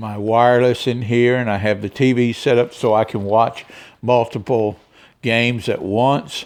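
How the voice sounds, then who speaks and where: A man's plain, everyday voice, medium in pitch, at a fairly slow pace. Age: 60s. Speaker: semi-retired car dealer and vlogger. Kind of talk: casual video tour vlog. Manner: relaxed, with frequent fillers.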